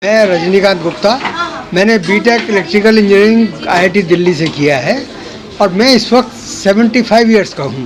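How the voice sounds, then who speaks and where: A man speaks at a high pitch with ordinary pitch variation. Audible room echo and noticeable background noise surround the voice. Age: 70s. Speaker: award recipient, retired engineer. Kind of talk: short interview at award event.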